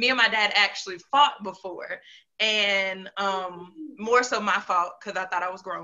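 A woman with a normal speaking voice and an American accent, at a medium pitch, a moderate pace and ordinary pitch variation. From North Carolina, Piedmont area. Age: young. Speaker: entrepreneur and motivational storyteller. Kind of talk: personal life story in interview.

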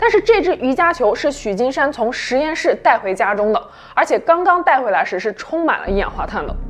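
Over noticeable background noise, a woman talks at a fairly quick pace in a high voice that makes very wide pitch swings. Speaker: true-crime podcast narrator. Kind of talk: true-crime narration, scripted storytelling. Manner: measured, even and serious, steady suspenseful storytelling.

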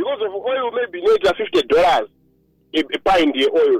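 The sound is dry and close with no echo as a man speaks in a Zimbabwean accent. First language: Shona. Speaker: agronomist. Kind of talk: radio interview.

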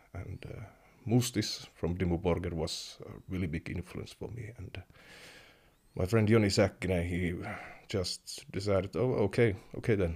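At a moderate pace, a somewhat breathy voice with a Finnish accent shows big swings in loudness. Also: man, very deep, low pitch for a man, fairly even intonation. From Finland, Kemi (Sea Lapland). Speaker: metal keyboardist. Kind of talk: interview.

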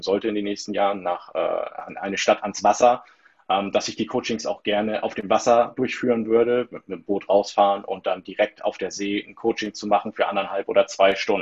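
The intonation of a plain, everyday voice stays fairly even. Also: man. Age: 30s. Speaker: stress coach. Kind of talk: interview.

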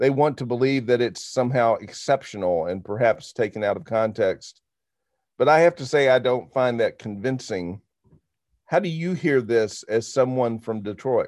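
An ordinary speaking voice, a man with an American accent talks at medium pitch and a moderate pace with ordinary pitch variation on a very clean recording with a silent background. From Arkansas, US South. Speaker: university administrator and podcast host. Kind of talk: podcast discussion with book reading.

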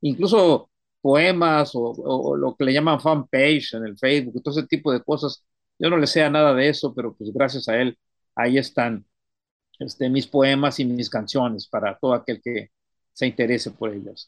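Speaking at a moderate pace, a man has a medium pitch and ordinary pitch variation. The sound is dry and close with no echo, over a quiet background. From Mexico, Tamaulipas (Ciudad Madero). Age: 60s. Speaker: poet. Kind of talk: interview. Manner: halting, many repetitions.

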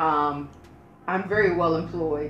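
Noticeable background noise and audible room echo surround a woman speaking at a fairly low pitch. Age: 40s. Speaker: first date on a podcast. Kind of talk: casual chat.

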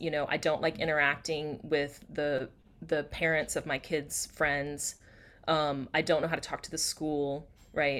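A woman with a very deep, low pitch and an American accent speaks at a fairly slow pace with monotone, flat intonation in a very clean recording with a silent background. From US South, near Atlanta, Georgia. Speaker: communication coach. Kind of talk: casual interview chat.

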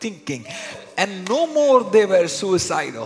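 A man's high-pitched, animated voice with very wide pitch swings and music in the background. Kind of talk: sermon. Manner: animated, urgent preacher cadence, calling the crowd to respond.

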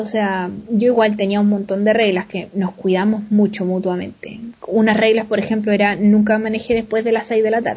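Flat and monotone in intonation, the voice comes across somewhat breathy. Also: woman. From Chile, Valparaíso. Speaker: author and traveler. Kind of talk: interview, casual chat.

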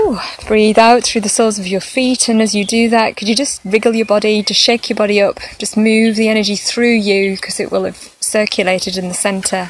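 Against noticeable background noise, a woman talks at a fairly high pitch with monotone, flat intonation. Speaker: spiritual group leader and meditation guide. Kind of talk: guided meditation, slow and hushed. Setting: Facebook Live video stream. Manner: slow, soft-spoken, soothing.

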